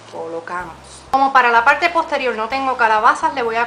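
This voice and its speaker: Over noticeable background noise, a woman with a Puerto Rican accent speaks at a high pitch with ordinary pitch variation. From Puerto Rico. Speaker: DIY crafts YouTuber. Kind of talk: tutorial.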